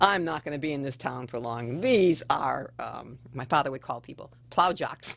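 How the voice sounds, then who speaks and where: Using vocal fry, a woman speaks at a very deep, low pitch and a moderate pace. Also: lively intonation. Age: 60s. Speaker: educator at an alternative school. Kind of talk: radio interview, casual chat.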